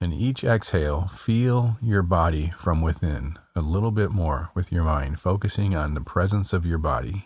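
A man with a very deep, low pitch and ordinary pitch variation speaks in a soothing, calm tone, somewhat breathy and with hardly any pauses, on a very clean recording with a silent background. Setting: studio. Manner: slow, soothing, calm delivery with repeated gentle instructions; soft-spoken, hushed and unhurried, leaving silent pauses.

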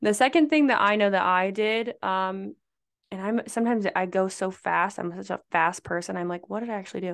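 With a plain, everyday voice, a woman with an American accent talks at a fairly quick pace, her medium pitch varying in an ordinary way against a quiet background. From Nebraska. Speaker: pageant coach and former beauty queen. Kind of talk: casual chat.

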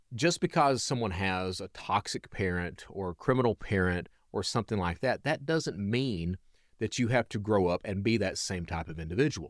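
With an Appalachian accent, a man talks at a moderate pace and a fairly low pitch with lively intonation, in a dry, close sound with no echo on a very clean recording with a silent background. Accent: Southern US (Appalachian). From US South, eastern Kentucky (Hazard). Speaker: reformed cybercriminal, security consultant and speaker. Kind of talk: interview, personal storytelling.

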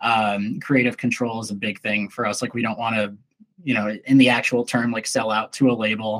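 A man's medium-pitched voice in an American accent, at a moderate pace, with monotone, flat intonation. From Minnesota, US. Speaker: musician. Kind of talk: casual interview.

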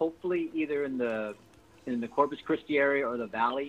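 A man with an American accent at a medium pitch, ordinary pitch variation, and a moderate pace. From San Antonio, Texas. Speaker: Air Force member and Tejano musician. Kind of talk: interview. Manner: halting, repeats words.

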